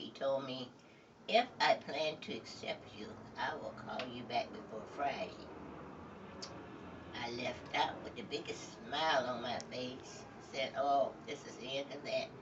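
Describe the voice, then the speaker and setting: A woman's very deep, low pitch with lively intonation and big swings in loudness, at a fairly slow pace with long, frequent pauses, over noticeable background noise. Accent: American. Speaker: retired teacher and actress. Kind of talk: interview answer.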